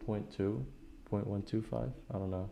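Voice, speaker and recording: The man's voice is fairly low in pitch with a dark, mellow tone. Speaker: NFT commentator, YouTuber. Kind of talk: screen-share tutorial. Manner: monotone.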